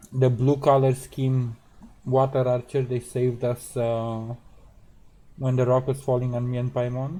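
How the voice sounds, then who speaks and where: Soft-spoken, somewhat breathy delivery at a fairly slow pace, with monotone, flat intonation. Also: man, medium pitch for a man. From central Europe. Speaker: game streamer. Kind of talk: casual gameplay commentary. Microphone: too quiet relative to game sound.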